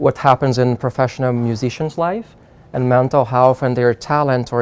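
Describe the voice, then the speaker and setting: The speaker has a Portuguese accent and a monotone, flat intonation. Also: man. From Brazil. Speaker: psychiatrist. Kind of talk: interview. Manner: halting.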